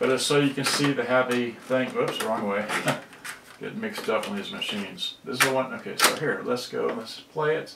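A man speaks at medium pitch and a moderate pace, his bright, sharp tone carrying vocal fry, ordinary pitch variation and audible room echo.

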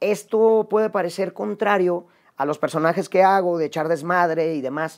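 At a moderate pace, a man with a Mexican accent talks at a high pitch with ordinary pitch variation against a quiet background. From Mexico. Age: 40s. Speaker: actor and comedian; actor, comedian. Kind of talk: personal monologue to camera. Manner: casual. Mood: reflective, confessional, warm. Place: home room. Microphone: lapel.

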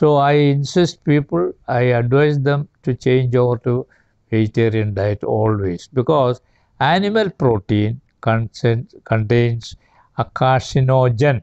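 Speaking at a very slow pace, a man is recorded with a dry sound and no echo. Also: quiet background. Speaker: interviewee. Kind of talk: interview answer. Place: garden. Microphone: lapel.

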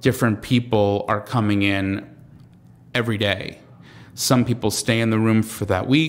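A fairly low-pitched man with a Long Island accent, fairly even intonation and a moderate pace, in a very clean recording with a silent background. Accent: New York (Long Island) American. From Long Island, New York. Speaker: comedian and TV writer. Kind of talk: casual interview chat. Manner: halting, many fillers and repetitions.

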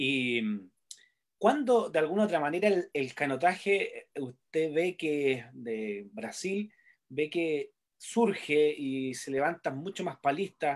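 At a very slow pace, the speech comes through on a very clean recording with a silent background. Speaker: sports interviewer. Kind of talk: interview. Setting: live stream. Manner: halting, frequent fillers.

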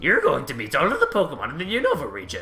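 Clear music plays in the background. A man does a put-on character voice at a very fast pace.

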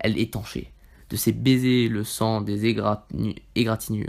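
A man speaks at a very slow pace in a dramatic tone. His pitch is medium and his intonation monotone and flat. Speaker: ASMR reader. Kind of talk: ASMR reading aloud of a short story, dramatic narration. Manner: soft, slow, hushed and intimate narration; dramatic, suspenseful, building tension toward the twist ending.

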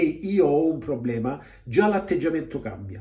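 A man talks at a fairly quick pace with very wide pitch swings. The background is quiet. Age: 50s. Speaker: weight-loss coach. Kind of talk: video monologue. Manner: direct. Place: home room. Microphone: phone near.

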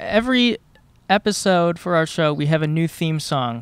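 The dry sound with no echo holds a man speaking at a moderate pace with a high pitch. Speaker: podcast host. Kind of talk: comedic interview. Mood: friendly, playful. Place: street. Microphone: handheld.

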